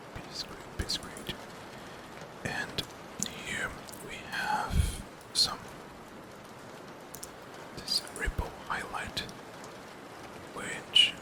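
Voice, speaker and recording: A man's whisper at a very slow pace, with long, frequent pauses, big swings in loudness and noticeable background noise. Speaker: game developer. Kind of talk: ASMR game development tutorial, whispered narration. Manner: whispering, soft-spoken.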